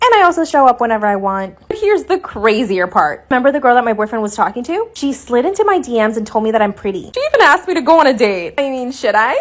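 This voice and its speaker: Extremely rapid talk, pitch leaping very widely, noticeable noise in the background. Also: woman, high pitch for a woman, hardly any pauses. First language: Spanish. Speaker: social media storyteller. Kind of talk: storytime monologue.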